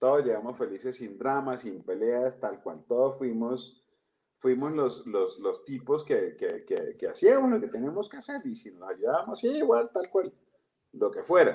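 A man's voice at a fairly slow pace, with big swings in loudness. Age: 40s. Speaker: comedian and storyteller. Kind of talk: casual chat.

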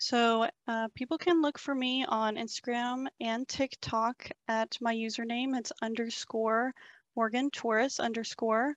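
A fairly high-pitched woman in a Texas accent, fairly slow, against a quiet background. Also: fairly even intonation. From Texas, Bryan College Station. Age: 20s. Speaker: real estate agent. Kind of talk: casual interview.

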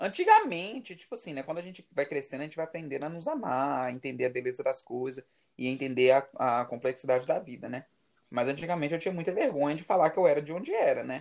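A man talks at a very fast pace in a fairly high pitch. His loudness swings widely. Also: ordinary pitch variation. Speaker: podcast co-host. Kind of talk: casual chat.

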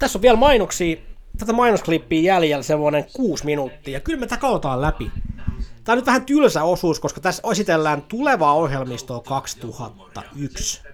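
Animated in tone, a man speaks at a moderate pace in a high pitch, his voice making very wide pitch swings. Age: 30s. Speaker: podcast host. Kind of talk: casual solo commentary. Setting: at home on a sofa.

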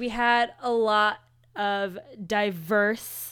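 In a very clean recording with a silent background, a woman speaks with an American accent. Her voice is fairly high and her intonation monotone and flat. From Houston, Texas. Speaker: political podcast co-host. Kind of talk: casual chat.

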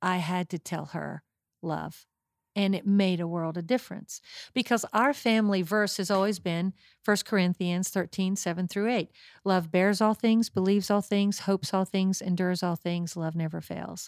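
A woman with an American accent and an ordinary speaking voice talks at a moderate pace with medium pitch and fairly even intonation, dry and close with no echo on a very clean recording with a silent background. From West Virginia. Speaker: pastor's wife. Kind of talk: testimony.

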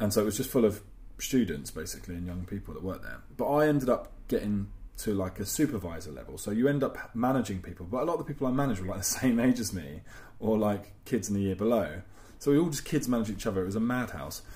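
Speaking very fast with an London accent, a man uses lively intonation in a fairly low-pitched voice with a dark, mellow tone. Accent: English (London area). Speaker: podcast co-host. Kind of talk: casual chat. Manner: loud.

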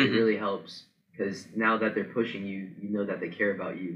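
A man's ordinary speaking voice at a moderate pace, with fairly even intonation. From central Ohio. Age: young. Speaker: college wrestler. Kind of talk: interview.

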